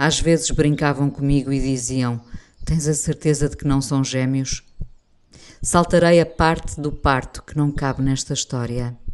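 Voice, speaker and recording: A woman with a European Portuguese accent speaks at a fairly slow pace in a very deep, low pitch, her intonation fairly even. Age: 50s. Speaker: radio presenter and writer. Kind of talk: reading aloud a personal essay.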